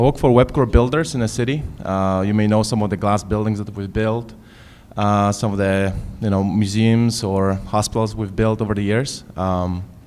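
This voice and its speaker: Keeping his intonation fairly even, a man speaks at a moderate speed. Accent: Polish. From Poland. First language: Polish. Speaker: construction manager, panelist. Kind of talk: self-introduction on a panel. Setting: high school event with live audience.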